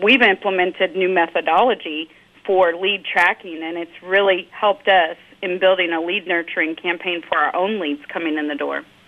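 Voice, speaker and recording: Fairly even intonation carries this plain, everyday voice. The pace is moderate. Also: woman, fairly low pitch for a woman. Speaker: email marketing director. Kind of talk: interview discussion.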